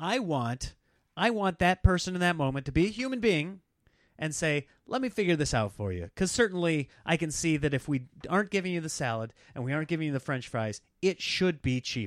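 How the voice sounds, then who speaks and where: A man with a Midwestern US accent speaks at a fairly quick pace, his pitch fairly high and swinging very widely. The recording is very clean and dry, close with no echo, over a silent background. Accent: US Midwest. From Nebraska. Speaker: comedian. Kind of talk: casual chat; show promo.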